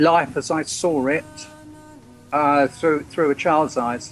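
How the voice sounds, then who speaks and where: Here is a man with an English accent. His fairly high pitch moves with fairly even intonation. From England. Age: 60s. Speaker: freedom movement activist and author. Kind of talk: interview. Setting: Skype call. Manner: halting.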